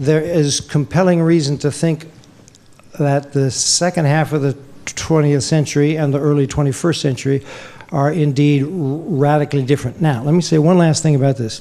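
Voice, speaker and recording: A man talks at a moderate pace in a fairly high pitch. His intonation stays fairly even over noticeable background noise. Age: 60s. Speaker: historian. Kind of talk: Q&A after lecture.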